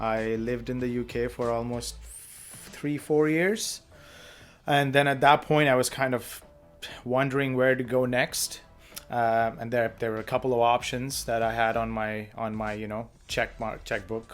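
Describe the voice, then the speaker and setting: Music plays in the background as a man speaks at medium pitch. His pace is fairly slow and his intonation fairly even. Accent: Indian. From India. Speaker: podcast co-host. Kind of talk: casual chat.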